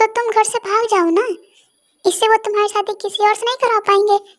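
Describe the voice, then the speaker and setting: A woman in a put-on character voice speaks very fast at an extremely high pitch, her intonation monotone and flat. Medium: read story. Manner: bold, decisive.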